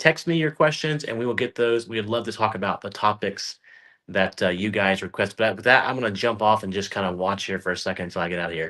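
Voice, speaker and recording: Against a quiet background, a man talks very fast in a bright, sharp tone, his fairly low pitch showing ordinary variation. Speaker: talk show host. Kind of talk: live show chat. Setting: doctor's office.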